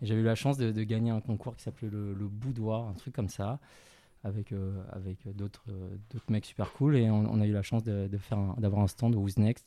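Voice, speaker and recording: A man speaks in a fairly low pitch with a dark, mellow tone. His intonation stays fairly even at a moderate pace. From Paris suburbs, France. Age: 30s. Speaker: clothing brand co-founder. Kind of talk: interview. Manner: halting, repeats words.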